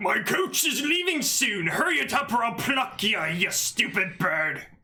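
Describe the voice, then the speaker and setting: A man's gruff, put-on character voice, extremely high in pitch, with very wide pitch swings. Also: moderate pace. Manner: impatient, threatening.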